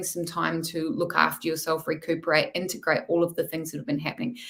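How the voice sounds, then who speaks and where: This is a woman talking. Her pitch is fairly low. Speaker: tarot reader and mindset coach. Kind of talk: live-stream tarot reading.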